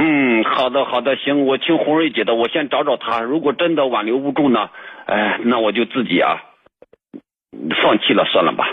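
A man talks at a moderate pace, his pitch medium with ordinary variation. His loudness stays very even throughout. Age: 40s. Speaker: caller. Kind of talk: call-in advice conversation. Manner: halting.

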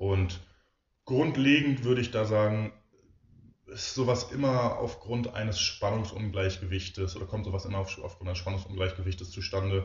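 A man speaks at a moderate pace with a fairly low pitch. His voice is somewhat breathy, with ordinary pitch variation. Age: 20s. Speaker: physiotherapist and osteopath. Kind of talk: casual interview.

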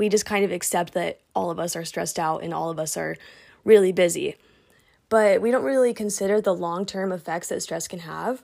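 On a very clean recording with a silent background, a woman with vocal fry speaks at a medium pitch and fairly quick pace, with ordinary pitch variation. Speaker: podcast host. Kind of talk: solo podcast monologue. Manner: casual.

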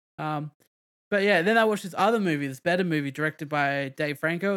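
A man talks at a very fast pace. His pitch is fairly high with ordinary pitch variation. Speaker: podcast host. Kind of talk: casual chat. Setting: streaming online from home. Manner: talkative, interrupts often.

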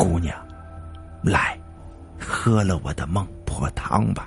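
A man puts on a character voice, low-pitched, hoarse and full of vocal fry, speaking slowly with ordinary pitch variation. Faint music plays in the background.

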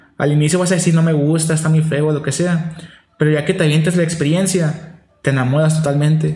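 Fairly high in pitch yet dark and mellow in tone, a man speaks at a fairly quick pace in a flat monotone with very even loudness, and audible room echo. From Nogales, Sonora, Mexico. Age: 20s. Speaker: seminarian. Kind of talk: casual interview.

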